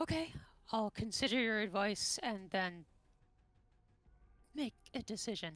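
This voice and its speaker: A woman puts on a character voice with a fairly high pitch. Her speech is broken by long, frequent pauses. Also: moderate pace. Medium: actual play.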